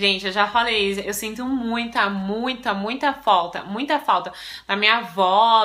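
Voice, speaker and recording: A woman speaks at a fairly slow pace in an ordinary speaking voice. Her pitch is fairly high, with ordinary pitch variation. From Brazil. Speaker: vlogger. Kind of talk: casual chat.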